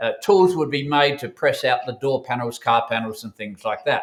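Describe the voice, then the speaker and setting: A man with an Australian accent. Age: 70s. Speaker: bullion dealer co-founder, former engineering manufacturer. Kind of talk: interview. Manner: hesitant, many fillers.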